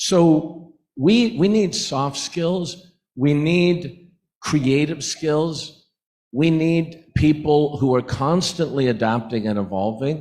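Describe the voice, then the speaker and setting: Lively intonation marks this man's fairly high voice. The background is quiet. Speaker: business executive, summit panelist. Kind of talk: panel discussion. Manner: louder than before.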